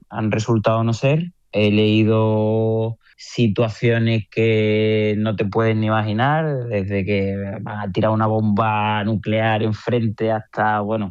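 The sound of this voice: Slow and with little pitch movement, a man speaks at a fairly low pitch in a clear, smooth, slightly mellow tone.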